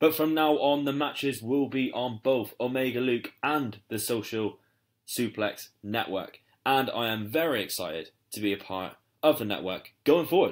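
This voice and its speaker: A man with a British accent, medium-pitched and lively in intonation, at a moderate pace in a very clean recording with a silent background. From UK. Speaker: wrestling podcast host. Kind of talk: podcast intro. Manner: animated.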